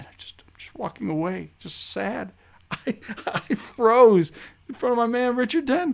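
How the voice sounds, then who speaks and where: Speaking with an American accent, a man with an extremely high pitch moves at a fairly slow pace, his intonation lively and his loudness swinging widely. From Chicago (Rogers Park). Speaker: podcast host. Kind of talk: casual interview chat.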